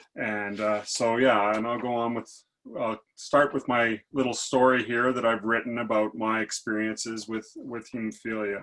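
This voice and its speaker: At a moderate pace, a man speaks in a medium pitch with flat, monotone intonation. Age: 60s. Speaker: patient speaker. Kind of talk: reading a prepared personal story.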